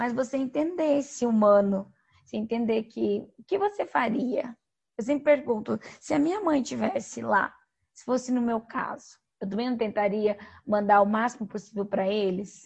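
Her loudness swings widely as she talks at a moderate pace. The woman's pitch is fairly high, with ordinary variation. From Brazil, western Paraná (Toledo). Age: 30s. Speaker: psychologist and humanitarian worker. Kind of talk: interview. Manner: talkative.

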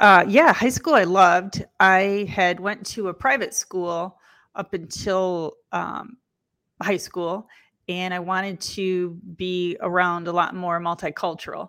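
Very slowly, a woman with an American accent speaks in a bright, sharp tone at a medium pitch with fairly even intonation, on a very clean recording with a silent background. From Lansing, Michigan. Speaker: mortgage executive and coach. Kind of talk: interview.

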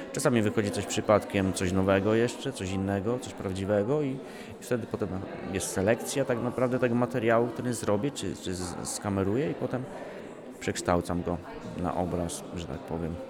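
Over noticeable background noise and audible room echo, a man talks at a fairly quick pace in a fairly low voice with ordinary pitch variation. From Podkarpacie, southeastern Poland. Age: 30s. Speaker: painter. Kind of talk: interview during exhibition tour. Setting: exhibition space in a railway station. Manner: halting, frequent repetitions.

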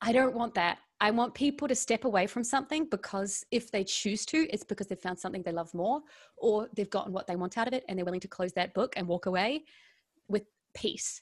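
Over a silent background in a very clean recording, a woman talks with an Australian accent and a fairly high pitch. Her tone is animated and her pace fairly quick. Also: ordinary pitch variation. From Melbourne, Australia. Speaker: actress and financial coach. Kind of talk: casual interview chat.

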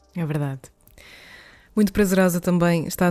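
Her tone is dark and mellow, and this woman keeps her intonation fairly even. The recording is very clean, with a silent background. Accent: European Portuguese. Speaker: podcast host. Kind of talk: interview. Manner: halting.

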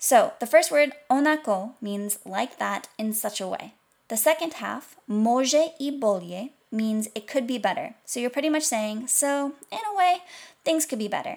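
A woman with a high pitch speaks at a fairly slow pace. Her intonation is lively. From English-speaking country with Croatian heritage. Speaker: language instructor. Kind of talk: language lesson tutorial.

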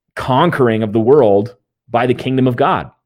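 A man with an unremarkable speaking voice and a medium pitch talks with ordinary pitch variation against a quiet background. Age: 20s. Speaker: pastor. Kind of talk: interview on theology.

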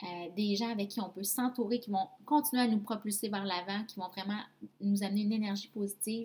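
A woman with a Quebec accent at medium pitch, fairly quick and fairly even in intonation, over noticeable background noise. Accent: Québécois French. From Quebec, Abitibi-Témiscamingue. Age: 20s. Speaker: podcast host, MLM entrepreneur. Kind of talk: personal testimony.

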